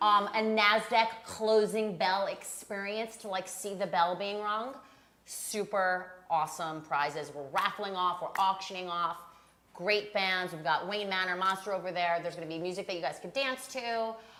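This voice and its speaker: With a slight Long Island accent, a woman talks at a moderate pace and medium pitch with ordinary pitch variation, and audible room echo surrounds her. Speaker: co-host. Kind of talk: live show chat.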